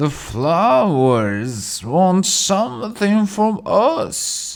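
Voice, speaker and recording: Using a put-on character voice, a man speaks at a high pitch and a very slow pace. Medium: read story. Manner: knowing, wry.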